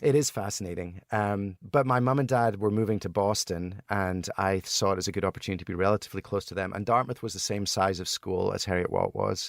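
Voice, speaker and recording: A man's fairly low voice in a Scottish accent, at a very fast pace with hardly any pauses, in a very clean recording with a silent background. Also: ordinary pitch variation, dry, close sound with no echo. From Scotland. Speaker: entrepreneur, board game inventor. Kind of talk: interview answer.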